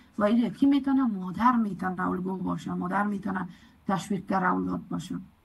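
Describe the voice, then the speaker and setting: A woman with an Afghan accent, medium pitch and ordinary pitch variation, at a very fast pace. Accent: Afghan Dari. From Afghanistan. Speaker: community advocate, program coordinator. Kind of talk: presentation lecture.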